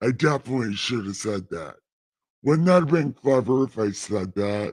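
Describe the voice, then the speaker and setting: A man puts on a character voice. It is medium in pitch. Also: moderate pace. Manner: booming, pompous.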